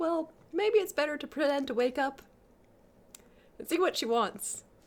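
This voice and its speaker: Put-on character voice from a woman, high in pitch, moderately paced. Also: lively intonation. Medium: read story.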